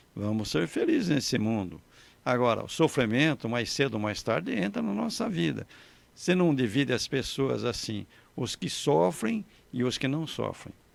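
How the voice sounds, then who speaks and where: Very wide pitch swings and vocal fry from a man at medium pitch, on a very clean recording with a silent background. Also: moderate pace. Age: 80s+. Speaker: bishop. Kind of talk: liturgical reflection in conversation. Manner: conversational.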